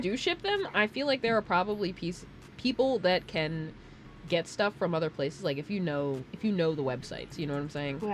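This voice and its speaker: A woman with an American accent at a medium pitch, speaking at a fairly quick pace with very wide pitch swings, over noticeable background noise. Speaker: streamer. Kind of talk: casual chat.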